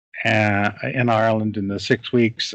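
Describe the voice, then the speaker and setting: Monotone and flat in intonation, a man with an American accent speaks at a fairly low pitch. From United States. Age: 70s. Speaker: author and immigration lawyer. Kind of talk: casual interview. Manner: halting, many fillers.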